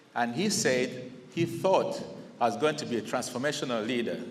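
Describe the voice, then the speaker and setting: With a Zambian accent, a man at medium pitch speaks with ordinary pitch variation amid audible room echo. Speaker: incoming district governor of a service club. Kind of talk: installation speech. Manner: conversational, with fillers.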